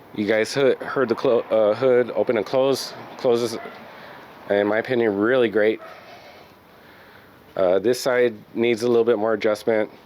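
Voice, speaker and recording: Over noticeable background noise, the speaker holds a moderate pace with monotone, flat intonation, very even loudness and long, frequent pauses. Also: man, medium pitch for a man. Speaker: car restoration youtuber. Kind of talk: casual tutorial walkthrough. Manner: halting, many fillers.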